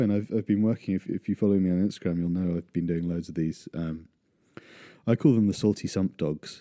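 The man's voice has a dark, mellow tone and ordinary pitch variation. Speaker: podcast host. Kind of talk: solo casual monologue. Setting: hand-held mic, rural remote location. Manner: rambling with many fillers.

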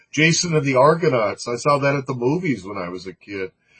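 A man speaks at a moderate pace with a fairly high pitch. His voice is somewhat breathy. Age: 60s. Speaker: artist and filmmaker. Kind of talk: interview.

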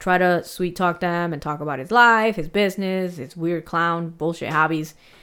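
A woman's unremarkable speaking voice, fairly low in pitch with fairly even intonation, at a moderate pace, in a very clean recording with a silent background. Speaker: podcast host. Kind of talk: casual chat and true crime storytelling. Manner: casual, chatty, laughs often.

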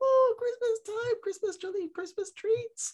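Extremely high pitch in a put-on character voice, delivered at a moderate pace

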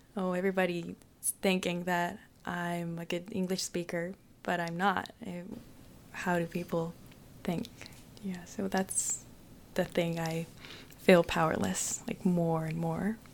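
A woman with a Japanese accent speaks at a fairly slow pace, with fairly low pitch and monotone, flat intonation. Her loudness swings widely, and her pauses are long and frequent. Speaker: international exchange student. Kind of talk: casual interview. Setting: studio.

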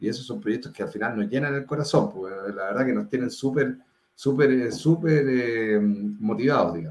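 A man with an unremarkable speaking voice talks at a moderate pace, with a medium pitch and ordinary pitch variation. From Chile, Viña del Mar (Valparaíso region). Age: 40s. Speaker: startup founder and CEO. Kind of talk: interview. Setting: video call.

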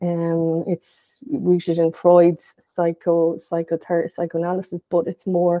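The voice has a dark, mellow tone and a western Irish accent, its intonation monotone and flat. The sound is dry and close, with no echo. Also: woman. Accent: Irish (west of Ireland). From Ireland, County Galway. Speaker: psychotherapist. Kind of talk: casual interview.

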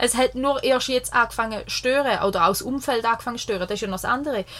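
A woman talks at a very fast pace in a high pitch with lively intonation. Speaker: podcast co-host. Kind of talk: casual chat. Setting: caravan studio.

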